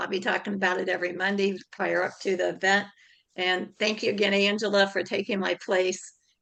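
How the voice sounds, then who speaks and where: A woman puts on a raspy character voice at a medium pitch. She speaks at a fairly quick pace in a monotone, flat intonation. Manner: talking loud, voice raised.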